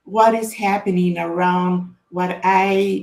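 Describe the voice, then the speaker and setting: A woman with a Spanish accent. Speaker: author and data consultant. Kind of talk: book launch presentation. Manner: halting, many fillers and repetitions.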